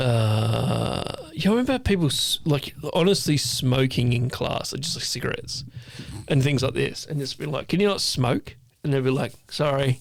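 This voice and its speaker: There is noticeable background noise. A man talks with an Australian accent. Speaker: podcast co-host, ex-chef. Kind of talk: casual chat. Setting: home studio. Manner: fast.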